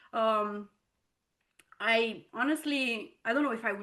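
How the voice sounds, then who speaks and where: Ordinary pitch variation with a non-native accent. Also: woman. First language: not English. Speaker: entrepreneur. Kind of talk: interview testimony. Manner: casual, filler-heavy.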